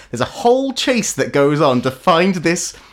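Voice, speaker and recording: A man speaks in an American accent at a high pitch. His pitch swings very widely. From United States. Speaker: podcast host. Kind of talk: casual chat.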